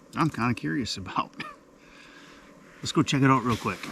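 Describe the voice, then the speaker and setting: A man's voice against noticeable background noise. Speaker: fishing vlogger. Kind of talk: casual vlog narration. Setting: outdoors on a frozen lake.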